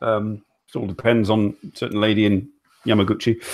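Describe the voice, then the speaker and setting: A man speaks with a British accent. His pitch sits in the medium range. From UK. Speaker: talk show host. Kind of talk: casual chat. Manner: halting, many repeats and fillers.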